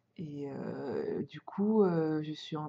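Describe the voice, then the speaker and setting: A woman speaks with a dark, mellow tone at fairly low pitch. Her pitch varies in an ordinary way. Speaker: podcaster on sewing and knitting. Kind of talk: casual podcast talk. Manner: hesitant, many fillers.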